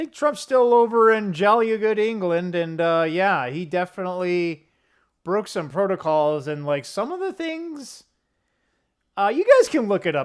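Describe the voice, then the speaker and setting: In a very clean recording with a silent background, a man speaks in an American accent at a moderate pace. His intonation is lively. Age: 50s. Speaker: gaming and commentary YouTuber. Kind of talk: casual vlog monologue. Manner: rambling with stammers and restarts.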